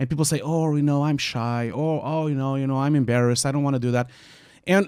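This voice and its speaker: A man speaks at a medium pitch. He has a Portuguese accent. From Portugal. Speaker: visual effects artist. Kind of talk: panel discussion. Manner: talkative.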